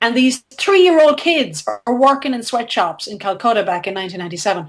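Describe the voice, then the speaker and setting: With an Irish accent, a woman speaks at a moderate pace using lively intonation. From Ireland, near Limerick. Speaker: philanthropist and storyteller. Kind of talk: interview storytelling. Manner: halting, many repetitions.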